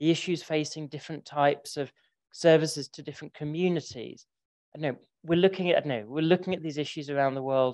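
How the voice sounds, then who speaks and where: A man with a London accent speaks at a very fast pace in a fairly high pitch. His intonation stays fairly even while his loudness swings widely. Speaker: library association director. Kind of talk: conference talk.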